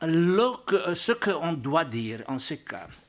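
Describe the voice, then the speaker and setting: A man's high voice with lively intonation and a non-native accent. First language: not French (speaking French). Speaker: archbishop and Vatican diplomat. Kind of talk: panel talk. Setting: press club debate with audience. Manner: halting.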